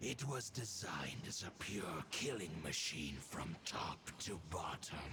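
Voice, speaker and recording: Through loud background noise, a man does a put-on character voice at a fairly low pitch and a fairly slow pace. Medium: video game. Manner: solemn, formal.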